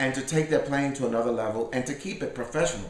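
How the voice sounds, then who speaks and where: There is audible room echo and noticeable background noise as a man speaks with ordinary pitch variation. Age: 60s. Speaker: salsa pianist and bandleader. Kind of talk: interview. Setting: at his home.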